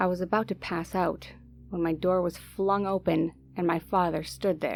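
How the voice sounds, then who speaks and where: A woman talks at a moderate speed. Behind her, music can be heard. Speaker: horror story narrator. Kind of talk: horror story narration.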